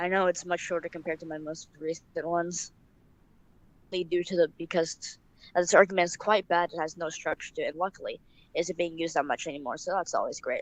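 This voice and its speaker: Spoken at a very fast pace with fairly even intonation, the voice sounds dry and close, with no echo. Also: woman. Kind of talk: casual political commentary to camera. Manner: stuttering.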